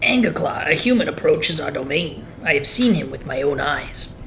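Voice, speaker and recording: Against clear background noise, a man performs a put-on character voice at a fairly high pitch and a moderate pace. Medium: audio drama. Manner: sly, taunting.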